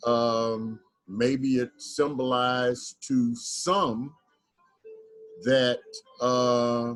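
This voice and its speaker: Over music in the background, a man with an American accent speaks at a medium pitch and very slow pace, with fairly even intonation and long, frequent pauses. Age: 70s. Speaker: community member. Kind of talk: online group discussion.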